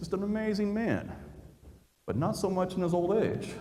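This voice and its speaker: Heard with audible room echo, a man speaks at a moderate pace in a high voice with a dark, mellow tone. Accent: American. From central Indiana, suburb of Indianapolis. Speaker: history YouTuber. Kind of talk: public talk. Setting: stage with audience. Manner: animated storytelling.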